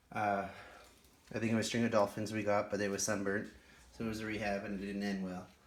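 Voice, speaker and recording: In a room with audible echo, a man with a fairly low pitch speaks at a very fast pace in a monotone, flat delivery broken by long, frequent pauses. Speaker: houseplant YouTuber. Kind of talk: casual show-and-tell vlog. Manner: conversational, casual.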